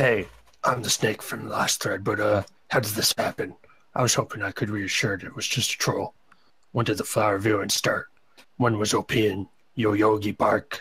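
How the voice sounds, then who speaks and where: A man's raspy, put-on character voice at a fairly low pitch. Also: moderate pace. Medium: read story. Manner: casual, conversational.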